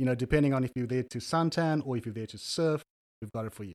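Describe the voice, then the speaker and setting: Speaking very fast in a South African accent, a man with a medium pitch and ordinary pitch variation comes through a very clean recording with a silent background and a dry, close sound with no echo. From Cape Town, South Africa. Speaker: guest, consultant and entrepreneur. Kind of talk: casual interview chat. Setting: studio. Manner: relaxed, hesitant with fillers.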